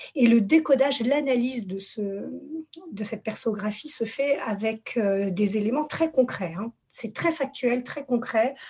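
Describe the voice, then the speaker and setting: Very slow speech from a woman at a fairly high pitch, with ordinary pitch variation. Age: 40s. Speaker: therapist. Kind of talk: casual chat. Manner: halting.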